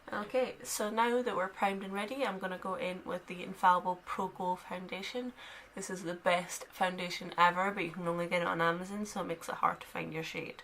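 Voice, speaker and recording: Over noticeable background noise, a woman with a Scottish accent talks at a fairly quick pace with hardly any pauses, her medium-pitched voice keeping a fairly even intonation. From Scotland, Dundee. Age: 20s. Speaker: beauty vlogger. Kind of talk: makeup tutorial chat. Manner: casual, chatty.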